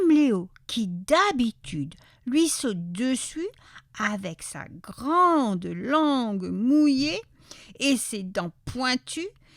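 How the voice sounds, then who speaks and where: A woman's high voice with very wide pitch swings at a very slow pace. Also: big swings in loudness. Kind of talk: children's story read-aloud.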